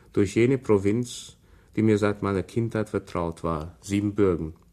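A man speaks at a fairly slow pace with a fairly low pitch and fairly even intonation. His tone is dark and mellow, on a very clean recording with a silent background. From Transylvania, Romania. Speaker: writer. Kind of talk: radio interview; reading aloud. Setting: radio studio. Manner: halting.

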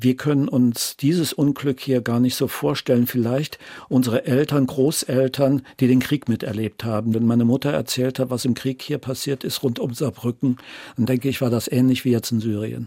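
A man speaks at a moderate pace in a dark, mellow tone with fairly even intonation. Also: medium pitch for a man, dry, close sound with no echo, very clean recording, silent background. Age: 60s. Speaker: former archaeologist and radio marketing man, retiree. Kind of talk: interview, personal story.

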